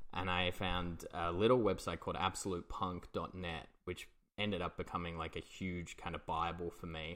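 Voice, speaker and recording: A man with a very deep, low pitch speaks at a moderate pace in a monotone, flat intonation, with an Australian accent. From England, moved to Australia as a child. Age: 30s. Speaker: comedian and podcast host. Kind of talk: casual chat.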